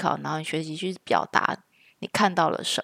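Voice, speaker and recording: A woman with a fairly low pitch and vocal fry speaks at a moderate pace with ordinary pitch variation. The recording is very clean, silent in the background, and dry and close with no echo. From Taiwan. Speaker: podcast co-host, mother. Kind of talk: casual chat.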